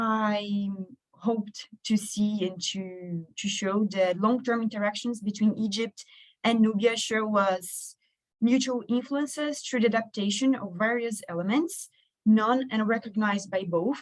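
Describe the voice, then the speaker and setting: This woman's fairly high, somewhat breathy voice moves at a fairly slow pace with ordinary pitch variation. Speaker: researcher. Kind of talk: conference presentation. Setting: stage with audience.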